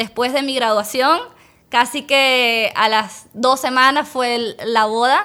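A woman's high voice, very slow, with ordinary pitch variation. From Venezuela, Caracas. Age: young. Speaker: dentist and business owner. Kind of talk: interview.

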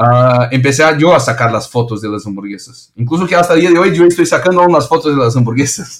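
A man in a Brazilian accent talks with lively intonation at a fairly high pitch, hardly pausing at all. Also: fairly quick pace. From Brazil, São Paulo. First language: Portuguese (speaking Spanish). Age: 30s. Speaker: restaurant founder. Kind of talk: interview. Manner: halting, repeats words.

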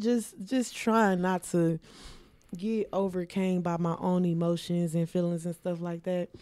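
Speaking at a very slow pace, a woman with a dark, mellow tone keeps a fairly low pitch and fairly even intonation. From Milwaukee, Wisconsin. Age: 20s. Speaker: shapewear business owner. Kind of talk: casual interview.

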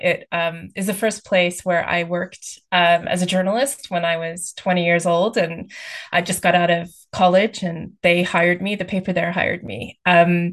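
With a Texan accent, a woman speaks at a fairly slow pace in a fairly low pitch and monotone, flat intonation. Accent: American, Texan. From US, Texas. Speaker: author. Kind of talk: interview.

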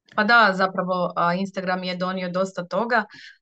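Dry and close with no echo, a woman's bright, sharp voice sits at a medium pitch and moves at a moderate pace. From southern Dalmatia, Croatia (Ploče). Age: 30s. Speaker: seamstress and small business owner. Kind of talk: interview.

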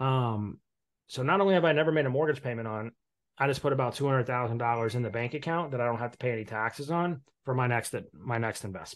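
Talking very fast in a US Midwestern accent, a man keeps a medium pitch with ordinary pitch variation. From Indiana, US Midwest (Evansville). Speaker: mortgage broker and real estate investor. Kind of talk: casual interview.

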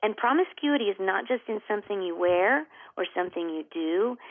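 A woman uses a normal speaking voice at medium pitch and a moderate pace, with ordinary pitch variation. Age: 50s. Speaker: author and speaker. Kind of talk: interview.

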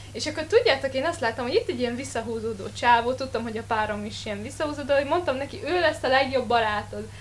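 This woman talks at a very fast pace. She leaves hardly any pauses. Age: young. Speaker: podcast co-host, drama student. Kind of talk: casual chat. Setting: studio.

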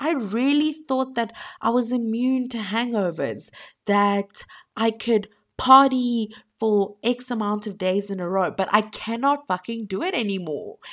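Over a silent background on a very clean recording, a woman speaks in an animated tone. Her fairly high voice moves at a fairly slow pace with ordinary pitch variation. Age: 20s. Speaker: podcast host. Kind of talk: casual monologue.

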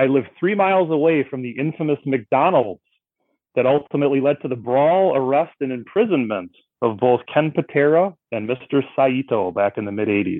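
Fairly high male voice, an unremarkable speaking voice, with lively intonation at a moderate pace. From Milwaukee, Wisconsin. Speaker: sports writer, trivia challenger. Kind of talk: casual chat.

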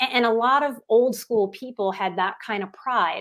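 In a normal speaking voice with an American accent, a woman speaks at a moderate pace and fairly high pitch with ordinary pitch variation, on a very clean recording with a silent background. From US South, New Orleans, Louisiana. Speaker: psychotherapist and life coach. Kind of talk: interview conversation.

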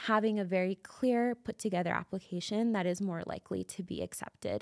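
A woman with a Canadian accent, in a dry, close sound with no echo, on a very clean recording with a silent background. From Calgary, Canada. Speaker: immigration lawyer. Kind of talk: interview. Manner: halting.

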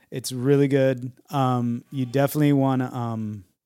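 A normal speaking voice from a man at a medium pitch, fairly slow pace, and fairly even intonation, on a very clean recording with a silent background. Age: 40s. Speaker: podcast co-host. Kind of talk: casual chat.

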